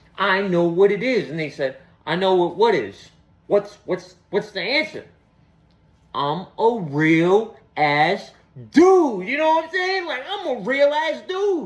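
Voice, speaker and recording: A man talks with a Boston accent in a high pitch, his tone animated. His pitch swings very widely. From Boston, US. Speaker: comedian. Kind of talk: stand-up.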